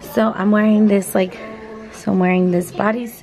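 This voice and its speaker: A woman talks at a moderate pace while faint music plays behind her. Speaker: vlogger. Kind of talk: casual vlog chat. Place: home room. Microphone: phone near.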